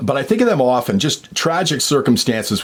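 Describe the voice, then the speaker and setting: Using a plain, everyday voice, a man talks at a fairly quick pace with lively intonation. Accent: Canadian. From Canada, Ontario (Sarnia). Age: 50s. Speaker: vlogger sharing sports memories. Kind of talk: casual reminiscing monologue.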